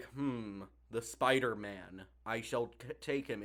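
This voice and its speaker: Using a put-on character voice, a man delivers his lines fairly slowly. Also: medium pitch for a man. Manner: pompous, theatrical.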